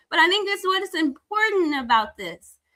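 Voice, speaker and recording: The voice is raised and projected, bright and sharp in tone, with very wide pitch swings. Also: woman. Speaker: talk show host. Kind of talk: live interview. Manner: loud.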